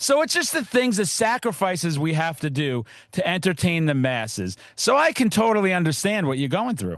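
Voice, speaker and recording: Loud and energetic, a man with a high pitch talks at a moderate pace with hardly any pauses and very wide pitch swings over a quiet background. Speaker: podcast host. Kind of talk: casual chat.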